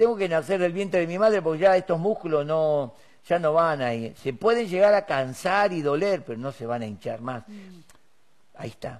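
A man's high-pitched voice with lively intonation at a moderate pace, over a quiet background. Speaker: preacher. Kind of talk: sermon.

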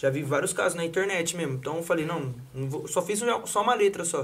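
A man talks very fast with ordinary pitch variation, sounding somewhat breathy. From Campinas, São Paulo state, Brazil. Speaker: funk MC. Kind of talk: casual chat.

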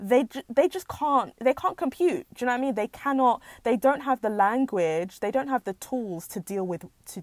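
Speech in a British accent moves at a moderate pace with very wide pitch swings. The recording is very clean, the background silent. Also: woman, dry, close sound with no echo. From England. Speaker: podcast host. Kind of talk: personal monologue. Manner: halting.

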